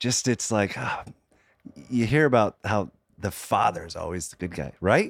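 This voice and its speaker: A man at a fairly low pitch, with lively intonation, a fairly slow pace and long, frequent pauses, in a very clean recording with a silent background. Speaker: filmmaker and husband of a cancer survivor. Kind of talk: casual interview chat.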